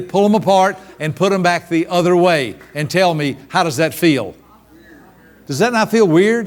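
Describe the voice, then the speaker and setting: An animated, high-pitched male voice with ordinary pitch variation. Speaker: seminar speaker on personality styles. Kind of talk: live workshop talk. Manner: fast.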